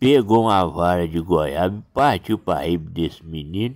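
Recorded very cleanly against a silent background, a man speaks at a fairly slow pace. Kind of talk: folk storytelling. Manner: casual, chatty.

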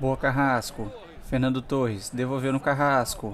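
This man speaks at a medium pitch. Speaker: gaming YouTuber. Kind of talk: gameplay commentary. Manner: animated.

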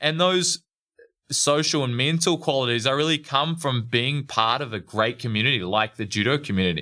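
A man with a New Zealand accent speaks at a medium pitch and moderate pace, his tone bright and sharp. His intonation is lively, and the recording is very clean with a silent background. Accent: Kiwi. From New Zealand, Motueka (top of South Island). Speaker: retired judo athlete, strength coach. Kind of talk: interview conversation.

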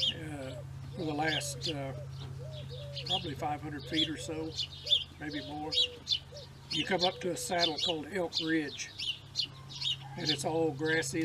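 A man's fairly slow speech, broken by long, frequent pauses, over loud background noise. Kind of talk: casual storytelling. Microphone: camera far.

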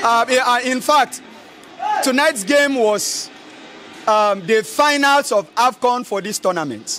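A man at extremely high pitch, bright, sharp tone, lively intonation, slow pace, faint background noise

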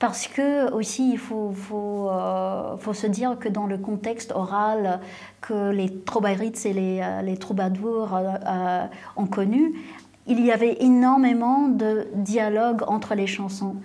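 A woman with a dark, mellow tone and a medium pitch speaks at a very slow pace with fairly even intonation. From Canada (Ottawa); Canada. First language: English (speaking French). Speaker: singer-songwriter; interviewee. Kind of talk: interview. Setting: conservatory auditorium before a concert. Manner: halting, many hesitations. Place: classroom. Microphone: lapel.

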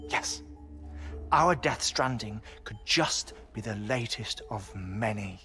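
With faint music behind him, a man does a put-on character voice at a fairly low pitch, slow in pace, bright and sharp in tone, with lively intonation.

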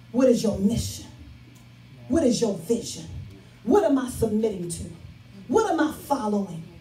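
An animated woman with an American accent at a fairly high pitch and moderate pace, with long, frequent pauses, audible room echo and light background noise. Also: lively intonation. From Chicago South Side; Chicago. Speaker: pastor. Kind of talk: sermon. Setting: church with live congregation. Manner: rhythmic, repetitive exhortation with congregation echo; animated, emphatic and conversational. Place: church.

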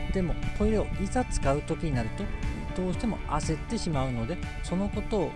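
A man with a Tsugaru accent talks at a fairly quick pace. The sound is dry with no echo, and clear music plays in the background. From Tsugaru, Aomori. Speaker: behavioral economist. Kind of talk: educational talk to camera. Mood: calm, friendly, smiling. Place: open country. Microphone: phone near.

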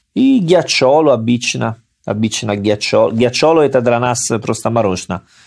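Speaking with an Italian accent, a man has a medium-pitched voice. He talks at a moderate pace with ordinary pitch variation. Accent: Italian-accented Russian. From Salerno, Italy. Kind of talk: casual conversational podcast. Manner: fluent but with grammar errors.

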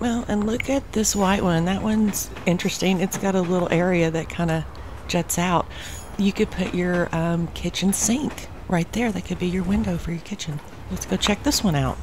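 A woman at a moderate pace, ordinary pitch variation, with noticeable background noise. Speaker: travel vlogger. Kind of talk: casual vlog chat. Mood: disappointed but upbeat. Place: open country. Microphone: phone near.

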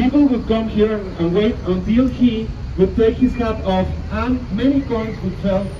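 Noticeable background noise behind a fairly slow pace and ordinary pitch variation. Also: man. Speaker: tour guide. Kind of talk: tour guide narration. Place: bus.

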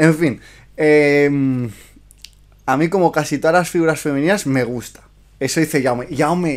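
A man's fairly high voice, fairly slow, with long, frequent pauses, ordinary pitch variation and a quiet background. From Spain. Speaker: miniature painting youtuber and streamer; miniature painting youtuber, streamer. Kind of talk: livestream review chat. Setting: live stream. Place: home room.

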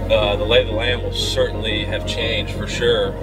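A man speaks at a moderate pace while loud music fills the background. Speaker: fishing guide. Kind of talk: casual chat. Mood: calm, hopeful. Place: car.

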